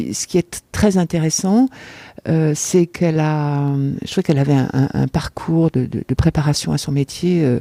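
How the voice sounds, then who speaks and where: A woman's very deep, low voice with a dark, mellow tone, ordinary pitch variation and a moderate pace, dry and close with no echo. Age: 60s. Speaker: amateur actress, theatre spectator. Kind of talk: interview testimony. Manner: halting, many hesitations and repetitions.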